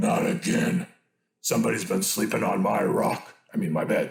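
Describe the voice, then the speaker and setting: A man does a put-on character voice at a moderate pace. It comes out growling, raspy and gruff. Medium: read story.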